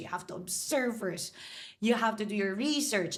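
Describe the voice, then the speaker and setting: A woman's somewhat breathy, animated voice with a Filipino accent, lively intonation and a moderate pace. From Philippines, Manila. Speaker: hotel marketing executive. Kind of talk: podcast interview.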